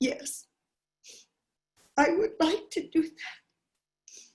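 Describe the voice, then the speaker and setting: An extremely high-pitched woman's put-on character voice. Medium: read story.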